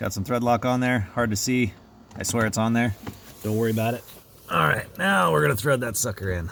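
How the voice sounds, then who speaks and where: A man talks fairly quickly in an ordinary speaking voice at a medium pitch. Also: ordinary pitch variation. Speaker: DIY car repair video maker. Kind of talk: tutorial. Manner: casual, with many fillers.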